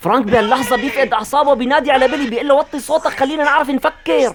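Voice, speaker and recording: Someone speaks at a very fast pace with a Syrian accent. Music plays in the background. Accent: Syrian Hama dialect. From Hama, Syria. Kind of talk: film recap narration. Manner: lively, humorous storytelling.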